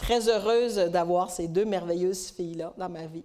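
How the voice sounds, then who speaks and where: A woman with a Quebec accent at a fairly slow pace. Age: 60s. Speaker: conference speaker. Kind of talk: talk at a women's conference.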